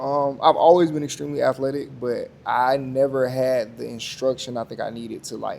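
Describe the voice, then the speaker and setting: A man talks at a fairly quick pace in a normal speaking voice with an American accent. His pitch is medium, and his loudness swings widely. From US South, rural north Florida. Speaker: podcast guest, media producer and navy veteran. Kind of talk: casual interview chat.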